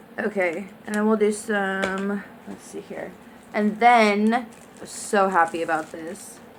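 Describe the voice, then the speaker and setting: Her loudness swings widely as a woman at medium pitch speaks at a very slow pace. Noticeable background noise sits underneath. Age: 20s. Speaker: beauty vlogger. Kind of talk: product review unboxing. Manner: casual, filler words.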